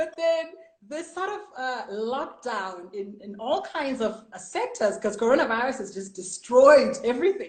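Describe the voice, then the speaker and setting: Speaking at a fairly slow pace, a woman with a high pitch makes very wide pitch swings and big swings in loudness. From South Africa. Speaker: international broadcast journalist. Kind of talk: casual interview chat.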